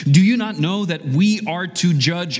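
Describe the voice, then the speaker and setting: There is noticeable background noise behind this man. He speaks at a very slow pace with lively intonation. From child of immigrants. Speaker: pastor. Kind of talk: sermon. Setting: church. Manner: conversational, frequent fillers.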